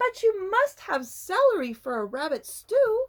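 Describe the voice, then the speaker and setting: It's a put-on character voice, squeaky in sound. The pitch swings very widely. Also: woman, extremely high pitch for a woman, moderate pace. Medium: read story. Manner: innocent-sounding, sly.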